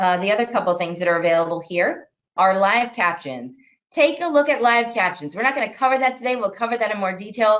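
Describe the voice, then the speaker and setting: Talking at a very fast pace, a woman uses a fairly high pitch with very wide pitch swings. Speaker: IT consultant presenting a webinar. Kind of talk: webinar tutorial. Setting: online meeting.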